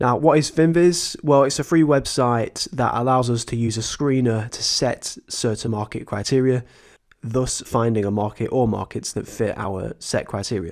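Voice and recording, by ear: Over a very clean recording with a silent background, a man talks at a moderate pace with medium pitch and fairly even intonation.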